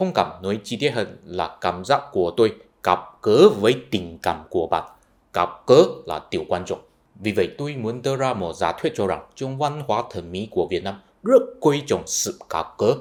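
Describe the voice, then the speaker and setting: A man with a Chinese accent speaks at a fairly slow pace and a medium pitch, with very wide pitch swings. The recording is very clean, with a silent background. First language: Chinese (speaking Vietnamese). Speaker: YouTuber, culture commentator. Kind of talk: explanatory video essay.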